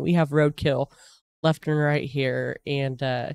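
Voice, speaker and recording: The sound is dry, with no echo. A woman speaks with an American accent. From United States. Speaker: YouTube reaction video host; reaction creator. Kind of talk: casual reaction commentary. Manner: hesitant, many fillers. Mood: amazed, interested. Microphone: studio mic.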